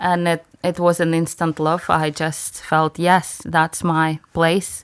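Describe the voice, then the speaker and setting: Very slowly and in a monotone, flat delivery, a woman with a non-native accent speaks at a fairly low pitch with very even loudness. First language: not English. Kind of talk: interview. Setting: studio. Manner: halting.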